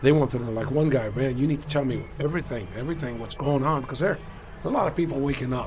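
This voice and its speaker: The recording carries noticeable background noise and audible room echo. A man's speech rushes along very fast. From Cuba. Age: 60s. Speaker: traveler. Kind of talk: casual chat. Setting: restaurant.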